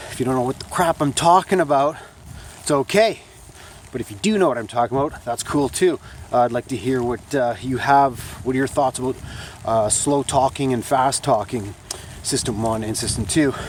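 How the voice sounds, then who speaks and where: Fairly quick, medium-pitched speech from a man with noticeable background noise. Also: ordinary pitch variation. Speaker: vlogger and small business owner. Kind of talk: casual vlog monologue. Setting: outdoors walking on a track in the rain. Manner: halting, many fillers.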